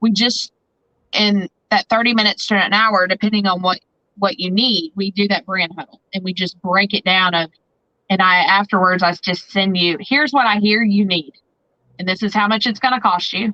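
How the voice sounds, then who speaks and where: Her bright, sharp tone comes through with an American accent as this woman talks at a moderate pace with medium pitch and fairly even intonation, in a dry, close sound with no echo. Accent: twang. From Southern Indiana. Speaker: photographer and branding consultant. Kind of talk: podcast interview.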